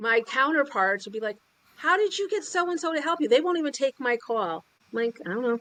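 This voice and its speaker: A woman talks loudly and fairly quickly, her high, bright, sharp voice making very wide pitch swings. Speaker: sales and business coach. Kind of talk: interview. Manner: animated.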